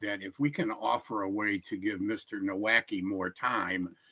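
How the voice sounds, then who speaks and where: Fairly low male voice with a Midwestern US accent and ordinary pitch variation. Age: 70s. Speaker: public hearing commenter, retired carpenter. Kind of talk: public testimony at a hearing. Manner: halting with frequent fillers.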